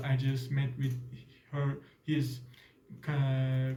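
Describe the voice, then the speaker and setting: A man with a Turkish accent has a fairly high pitch and a dark, mellow tone, somewhat breathy, with audible room echo. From Turkey. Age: 20s. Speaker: exchange student. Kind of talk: casual interview. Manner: halting, many fillers.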